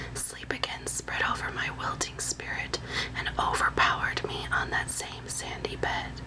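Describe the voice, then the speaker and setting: A woman whispers in a soothing tone at a fairly slow pace. Noticeable background noise runs underneath. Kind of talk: whispered ASMR reading of a translated classical novel excerpt. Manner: whispered; soothing, relaxing.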